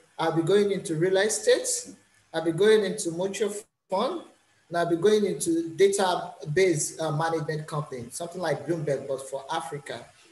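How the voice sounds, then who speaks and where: In a room with audible echo, a man with a high pitch speaks at a moderate pace with ordinary pitch variation. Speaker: master's student. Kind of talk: interview. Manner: halting, many fillers.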